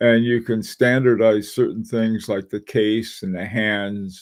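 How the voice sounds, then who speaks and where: A man with a medium pitch speaks very slowly. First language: not English. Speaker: watch channel host. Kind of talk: live stream chat. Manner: halting.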